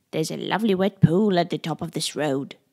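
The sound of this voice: A croaky put-on character voice rattles along at a very fast pace in a very clean recording with a silent background. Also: woman, fairly low pitch for a woman.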